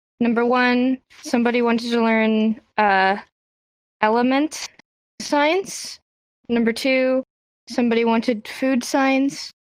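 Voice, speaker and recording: Here a woman's high-pitched voice moves very slowly with long, frequent pauses, fairly even intonation and very even loudness. The sound is dry and close, with no echo. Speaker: sign language teacher. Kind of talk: lecture. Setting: VR chat room with group. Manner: low energy.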